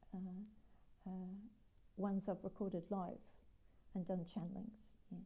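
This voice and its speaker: Her tone dark and mellow and somewhat breathy, a woman speaks at a fairly slow pace. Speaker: spiritual healer and teacher. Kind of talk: live stream talk. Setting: live video stream. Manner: hesitant, many fillers; voice fades when channeling. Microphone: sometimes too quiet.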